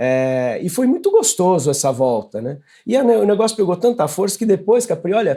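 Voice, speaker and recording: A man with a high pitch and a dark, mellow tone talks at a moderate pace, his voice making very wide pitch swings. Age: 60s. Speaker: running coach. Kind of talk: interview. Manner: hesitant with repetitions.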